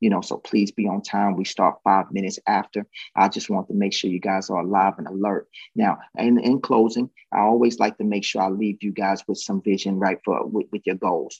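Fairly quick speech comes through with a dry, close sound and no echo. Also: man, fairly low pitch for a man. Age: 30s. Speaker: sales company CEO leading team call. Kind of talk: team sales call pep talk. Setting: conference call. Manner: animated.

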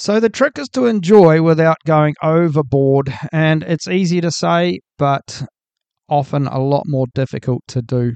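A man with a New Zealand accent, fairly high-pitched and lively in intonation, at a fairly slow pace, in a dry, close sound with no echo and a quiet background. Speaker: podcast host. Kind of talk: solo podcast monologue. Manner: casual, hesitant with fillers.

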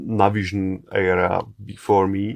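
In a very clean recording with a silent background, a man speaks with a Czech accent. His pace is very slow and his pitch fairly low. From Czech Republic. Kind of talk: interview. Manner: halting.

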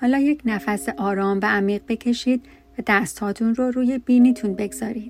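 With music in the background, a woman speaks in a calm, gentle tone at a fairly high pitch with ordinary pitch variation. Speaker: meditation guide. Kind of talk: guided meditation. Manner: slow, soft, soothing; calm, gentle, with pauses between instructions.

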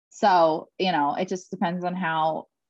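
In an American accent, a woman talks at a moderate pace with fairly low pitch and fairly even intonation, the sound dry and close with no echo. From Philadelphia. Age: 30s. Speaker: podcast co-host. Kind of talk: casual chat.

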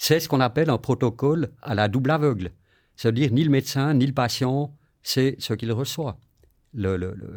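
The clip has a normal speaking voice with ordinary pitch variation. It moves at a moderate pace. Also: man, medium pitch for a man. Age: 60s. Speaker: long-term HIV patient. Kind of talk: interview testimony.

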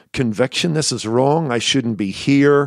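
A man with a Northern Irish accent, medium pitch, ordinary pitch variation and a fairly slow pace. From Northern Ireland, near Belfast. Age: 60s. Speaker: pastor. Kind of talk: interview. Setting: pastor's study at the church.

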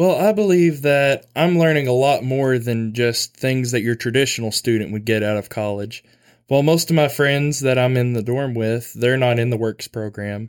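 A man speaks at a moderate pace with a medium pitch and an Arkansas accent. His pitch rises and falls in an ordinary way. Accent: Southern US (Arkansas). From Arkansas, US South. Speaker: university student and farm worker. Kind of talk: casual interview.

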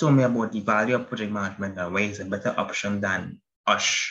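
Talking at a very fast pace, the man uses ordinary pitch variation. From Trinidad and Tobago. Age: 20s. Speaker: project management student. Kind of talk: interview.

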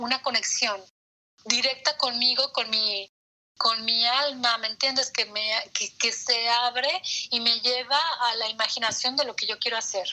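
A woman speaks in a high pitch with fairly even intonation. Her pace is fairly slow. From Mexico. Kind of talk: interview.

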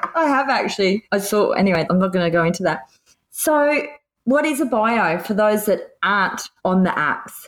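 A woman with an Australian accent speaks at a moderate pace in a medium pitch, her loudness very even while her pitch swings very widely. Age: 40s. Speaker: podcast co-host. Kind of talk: casual chat.

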